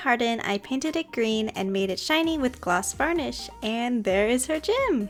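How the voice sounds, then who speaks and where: At a high pitch, a woman talks at a moderate pace with lively intonation. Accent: American. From California. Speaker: doll customizer, craft video creator. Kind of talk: tutorial narration.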